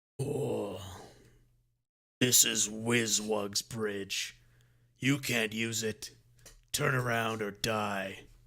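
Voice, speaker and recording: This put-on character voice is gruff and raspy, moving at a very slow pace with long, frequent pauses. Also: man, medium pitch for a man. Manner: threatening.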